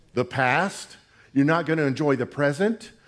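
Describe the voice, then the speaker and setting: A man speaks at a moderate pace with ordinary pitch variation. His tone is animated. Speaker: preacher. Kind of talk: sermon. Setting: church with congregation. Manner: animated, emphatic pulpit delivery with call-and-response; colloquial and humorous.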